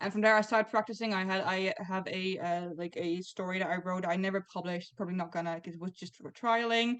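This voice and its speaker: A woman at a very fast pace with ordinary pitch variation. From Netherlands. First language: not English. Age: 20s. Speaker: comic writer. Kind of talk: interview.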